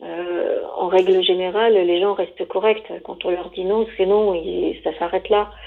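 Flat, monotone female speech, mid-range in pitch and fairly slow. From France, Savoie. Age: 50s. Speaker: divorced single woman interviewed about dating. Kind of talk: interview testimony.

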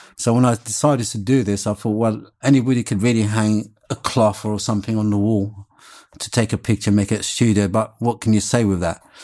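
In a very clean recording with a silent background, a dark, mellow voice speaks at a fairly quick pace with monotone, flat intonation. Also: man, fairly low pitch for a man. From Morocco (Larache), raised in London from the 1970s. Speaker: photographer and artist. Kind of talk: interview.

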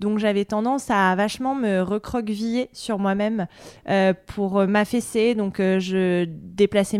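A woman speaks at a very slow pace in a monotone, flat intonation and a medium pitch, with a dry, close sound and no echo. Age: 30s. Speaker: journalist and podcaster. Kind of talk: interview. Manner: hesitant, many fillers.

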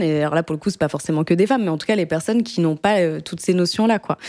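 A woman with a plain, everyday voice speaks at a medium pitch with lively intonation. The recording is very clean, its background silent. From France, Paris. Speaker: podcast host. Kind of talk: casual chat.

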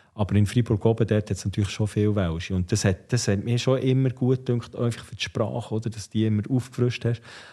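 This man's voice sits at a medium pitch, with a dark, mellow tone and a somewhat breathy quality, moving at a fairly quick pace with hardly any pauses. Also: fairly even intonation. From Switzerland, Bern area (Ostermundigen). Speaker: former ice hockey player and entrepreneur. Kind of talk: casual interview.

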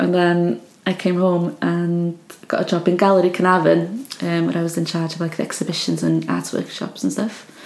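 Noticeable background noise sits behind a woman speaking with a north Welsh accent. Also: moderate pace. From Wales, Anglesey. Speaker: artist. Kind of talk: casual chat. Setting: home studio.

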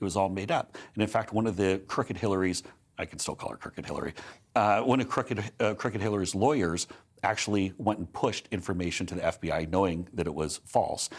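An unremarkable speaking voice, this man talks with an American accent at a fairly quick pace, fairly low in pitch with ordinary pitch variation. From United States. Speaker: political advisor. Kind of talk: casual interview.

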